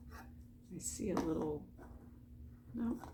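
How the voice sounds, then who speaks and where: A soft-spoken woman talks with audible room echo. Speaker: diamond painting hobbyist vlogger. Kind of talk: casual late-night craft vlog. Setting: at home at night. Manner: quiet, soft-spoken; chatty, filler-heavy.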